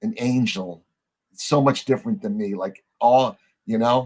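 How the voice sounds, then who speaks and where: With an American accent, this man talks at a fairly slow pace and a medium pitch, his intonation lively, on a very clean recording with a silent background. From New Jersey. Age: 60s. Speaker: former drug smuggler turned federal agent, author. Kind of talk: interview storytelling. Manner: casual, halting with fillers.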